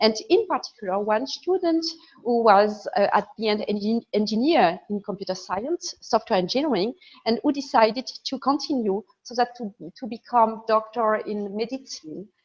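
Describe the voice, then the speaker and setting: With a French accent, a woman talks at a moderate pace and fairly high pitch, her intonation lively and her loudness swinging widely. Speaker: computer science professor. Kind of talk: lecture.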